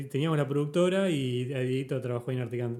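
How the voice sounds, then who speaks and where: Speaking at a fairly quick pace, a man has a dark, mellow tone at a medium pitch. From Uruguay, Montevideo. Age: 30s. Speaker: podcast host. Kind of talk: casual chat.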